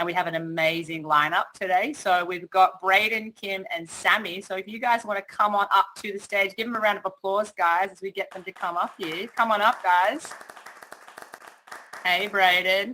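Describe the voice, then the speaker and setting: A woman at a moderate pace with an Australian accent, medium pitch, ordinary pitch variation and big swings in loudness. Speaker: event MC and music artist. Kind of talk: hosting a virtual panel event. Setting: virtual metaverse event online. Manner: animated.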